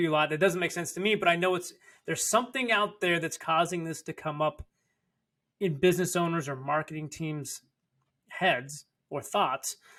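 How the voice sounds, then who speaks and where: A man with a high pitch and a bright, sharp, excited tone speaks with long, frequent pauses on a very clean recording with a silent background. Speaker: podcast co-host, marketing agency. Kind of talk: casual podcast conversation.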